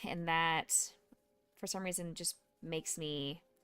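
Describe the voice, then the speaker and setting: A woman with a fairly low voice speaks at a fairly slow pace with ordinary pitch variation, her dry, close sound free of echo, while music plays in the background. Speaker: Twitch streamer and music therapist. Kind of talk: casual livestream chat. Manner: loud. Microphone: microphone very close to mouth.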